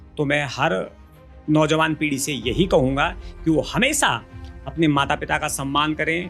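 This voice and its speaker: A man with a fairly high pitch speaks with long, frequent pauses while music plays in the background. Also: ordinary pitch variation. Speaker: Garhwali folk singer and songwriter. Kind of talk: interview answer.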